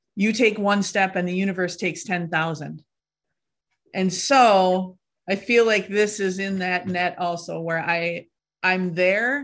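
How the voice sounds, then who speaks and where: A woman speaks in a normal speaking voice at medium pitch. Her pace is fairly slow and her intonation fairly even. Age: 40s. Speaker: actor and membership participant. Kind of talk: coaching call, asking questions. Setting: live online video call.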